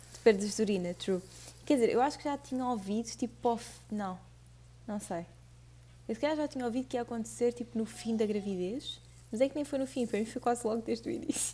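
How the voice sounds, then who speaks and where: At a very fast pace broken by long, frequent pauses, a woman with a European Portuguese accent speaks at a fairly high pitch in a dark, mellow, somewhat breathy tone with ordinary pitch variation. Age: 20s. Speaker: podcast co-host. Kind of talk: casual chat.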